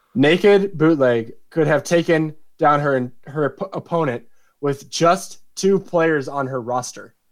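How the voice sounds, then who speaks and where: A man speaks at a fairly slow pace with ordinary pitch variation and a fairly high pitch. He has an unremarkable speaking voice. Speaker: fantasy football league commissioner and podcast co-host. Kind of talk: casual chat; scripted narration.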